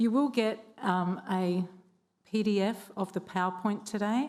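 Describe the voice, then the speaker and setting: With ordinary pitch variation, a woman holds a medium pitch. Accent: Australian. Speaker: government training consultant. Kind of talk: forum presentation. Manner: hesitant, many ums.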